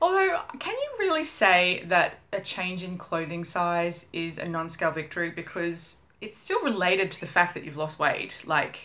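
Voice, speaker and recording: A woman with an Australian accent has a bright, sharp tone. She speaks at a fairly slow pace. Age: 30s. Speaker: vlogger. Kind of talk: casual vlog update. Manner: chatty, many fillers.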